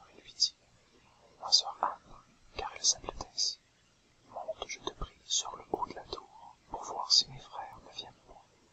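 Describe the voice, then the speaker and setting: A man whispers at a fairly slow pace, leaving long, frequent pauses. His loudness swings widely over noticeable background noise. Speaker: whisper / relaxation video creator. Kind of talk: whispered storytelling / fairy tale reading. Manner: whispered, soft-spoken, relaxing.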